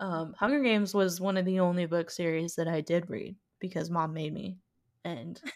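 Speaking at a moderate pace, a woman with an unremarkable speaking voice stays fairly low in pitch with ordinary pitch variation. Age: 20s. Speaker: podcast co-host. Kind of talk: casual chat. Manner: giggly, many filler words.

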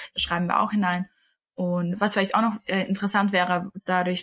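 Fairly even in intonation, a woman talks in an ordinary speaking voice. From Austria, Vienna. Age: 20s. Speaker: podcast co-host, yoga teacher. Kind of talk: casual chat.

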